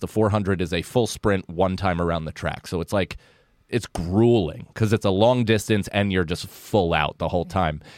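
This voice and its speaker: A man with an American accent and a fairly low pitch talks at a moderate pace with ordinary pitch variation, an ordinary speaking voice. The recording is very clean with a silent background, and the sound is dry and close with no echo. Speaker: comedian. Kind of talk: casual chat. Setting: studio.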